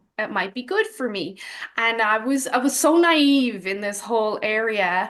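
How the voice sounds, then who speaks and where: This woman's lively intonation comes through at a fairly slow pace, and the background is quiet. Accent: Dublin. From Ireland, Dublin. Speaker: health coach. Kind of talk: personal testimony in an interview.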